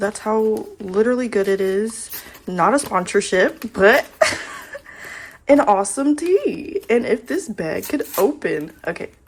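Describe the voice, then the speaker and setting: A woman speaks in a fairly high voice with an animated tone and lively intonation. Her pace is fairly slow, and there is noticeable background noise. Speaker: lifestyle vlogger. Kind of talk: casual chat. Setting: home office.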